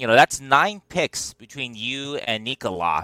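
A man speaks with a bright, sharp tone. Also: dry, close sound with no echo. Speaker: podcast co-host. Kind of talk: interview.

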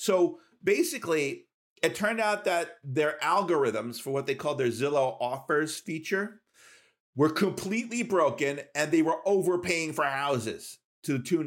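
A man with fairly high pitch and lively intonation, talking at a moderate pace. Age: 50s. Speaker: tech podcast co-host. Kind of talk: casual chat. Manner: halting, repeats words.

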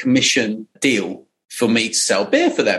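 Here a man speaks with a British accent. His pace is fairly slow. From England, Surrey. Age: 40s. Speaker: entrepreneur. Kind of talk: interview storytelling. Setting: remote call. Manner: animated.

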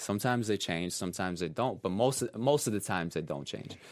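Someone talks at a very fast pace with a Russian accent and ordinary pitch variation. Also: man. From Russia (Siberia), raised partly in New York. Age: 20s. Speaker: professional dancer. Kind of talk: interview. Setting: studio.

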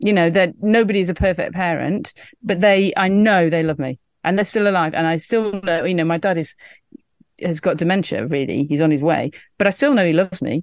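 With an English accent, a woman talks at a fairly quick pace, her fairly low pitch showing ordinary variation. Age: 50s. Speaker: journalist. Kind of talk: casual chat.

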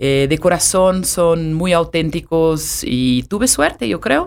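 A woman speaks with a Brazilian accent in a fairly low pitch. Her pace is very slow. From Brazil, Sao Paulo. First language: Portuguese (speaking Spanish). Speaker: hotel sales and marketing director. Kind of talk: interview conversation.

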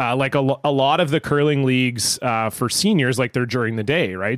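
With a very clean recording and a silent background, a man talks at a moderate pace in an unremarkable speaking voice of medium pitch with fairly even intonation. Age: 30s. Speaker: podcast co-host. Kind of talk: casual chat. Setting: studio.

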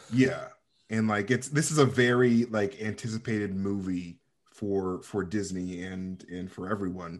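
Speaking in a plain, everyday voice, a man talks at a fairly low pitch with ordinary pitch variation. His pace is fairly slow. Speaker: podcaster. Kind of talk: casual chat.

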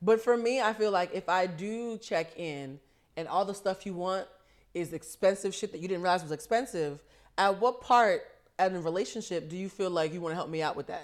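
In an American accent, a woman speaks with ordinary pitch variation and a plain, everyday voice on a very clean recording with a silent background. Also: medium pitch for a woman, fairly quick pace. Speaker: podcast co-host. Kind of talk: casual chat. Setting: studio.

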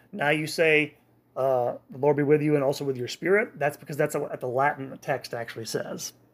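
An unremarkable speaking voice with ordinary pitch variation moves through big swings in loudness. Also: man, fairly high pitch for a man. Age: 40s. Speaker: podcast host, church history. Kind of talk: history lecture. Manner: frequent filler words and restarts.

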